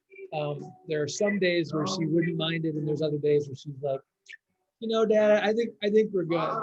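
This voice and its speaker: A loud voice moves at a moderate pace with ordinary pitch variation. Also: man, high pitch for a man. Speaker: biology teacher. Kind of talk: parent-teacher video meeting chat.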